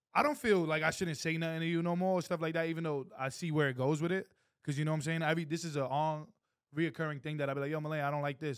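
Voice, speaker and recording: In a very clean recording with a silent background, a man speaks very fast at a fairly high pitch with fairly even intonation. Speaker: podcast co-host. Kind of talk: heated debate. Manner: passionate.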